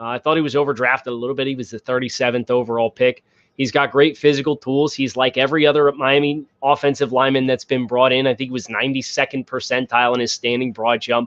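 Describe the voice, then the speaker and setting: At a very fast pace with hardly any pauses, a man speaks at medium pitch in a monotone, flat intonation. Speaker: sports podcast host. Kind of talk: live stream sports podcast monologue. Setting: live stream.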